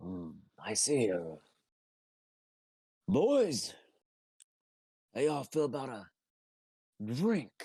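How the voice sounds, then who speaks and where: A man puts on a raspy character voice at a medium pitch, going very slowly with long, frequent pauses, very wide pitch swings and big swings in loudness. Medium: actual play. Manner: gruff, dry.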